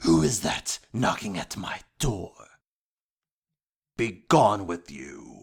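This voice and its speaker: A man's put-on character voice, fairly low-pitched, at a very slow pace with long, frequent pauses. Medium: sound effect. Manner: creepy.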